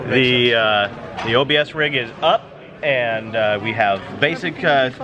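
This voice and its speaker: Over noticeable background noise, a man speaks fairly slowly at a medium pitch. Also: ordinary pitch variation. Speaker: vlogger and tech podcast host. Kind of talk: vlog commentary. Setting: tech conference floor, indoors. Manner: loud; animated.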